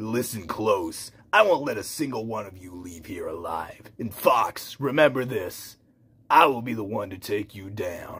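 A raspy, put-on character voice from a man at medium pitch, in a very clean recording with a silent background. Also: moderate pace. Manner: menacing, threatening.

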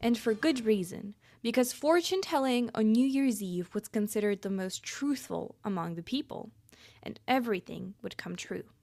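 With music in the background, a woman talks at a moderate pace using lively intonation. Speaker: podcast host. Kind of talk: narrated podcast explanation.

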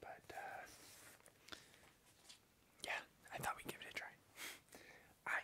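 The speaker is a man. His words come out as a whisper. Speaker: video creator. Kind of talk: casual vlog chat. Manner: soft, quiet ASMR close-mic speech. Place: home room. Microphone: studio mic.

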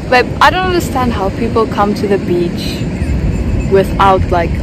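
A woman talks against loud background noise. The sound is dry, with no echo. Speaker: vlogger. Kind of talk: casual vlog chat. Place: beach. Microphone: phone near.

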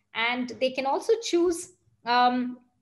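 A woman's somewhat breathy voice against a quiet background. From India, Bangalore; India. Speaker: tech executive. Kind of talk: interview. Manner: fluent with many fillers. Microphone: video call.

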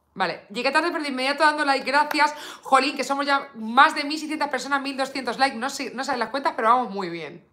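Raised and projected, the voice moves at a fairly quick pace with hardly any pauses and an animated tone over a quiet background. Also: woman, high pitch for a woman, ordinary pitch variation. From Spain. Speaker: beauty YouTuber. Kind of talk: live stream makeup unboxing. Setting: home live stream. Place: home room.

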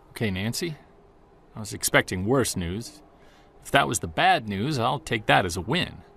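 A man puts on a character voice with vocal fry. His tone is fairly bright with a slightly husky edge. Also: medium pitch for a man, lively intonation, moderate pace.

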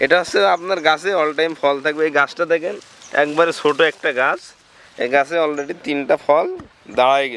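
A man with a fairly high pitch speaks with fairly even intonation over noticeable background noise. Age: young. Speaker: plant nursery owner. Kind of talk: casual interview on site.

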